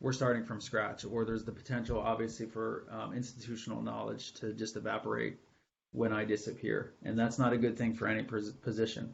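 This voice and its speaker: Vocal fry runs through this man's medium-pitched voice. He speaks at a fairly quick pace with monotone, flat intonation. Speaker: IT supervisor giving presentation. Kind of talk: webinar presentation.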